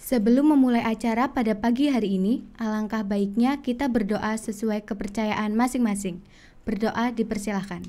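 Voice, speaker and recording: A dark, mellow tone at a moderate pace with hardly any pauses and fairly even intonation. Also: woman, fairly high pitch for a woman. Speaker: student MC. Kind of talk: formal event hosting. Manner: formal. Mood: polite, calm, formal. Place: studio. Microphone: studio mic.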